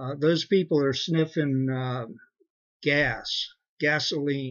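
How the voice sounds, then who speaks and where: A man speaks very slowly in a fairly high voice. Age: 60s. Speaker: vlogger giving a product testimonial. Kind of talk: testimony. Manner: halting.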